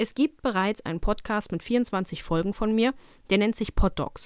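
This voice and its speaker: A woman's plain, everyday voice at medium pitch and a moderate pace, dry and close with no echo, on a very clean recording with a silent background. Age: 20s. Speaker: dog trainer and podcast host. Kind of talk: casual solo podcast monologue.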